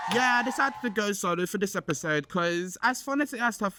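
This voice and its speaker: An animated voice with a bright, sharp tone moves at a fairly quick pace in a very clean recording with a silent background. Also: man. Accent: London. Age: 20s. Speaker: podcast host. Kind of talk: casual chat.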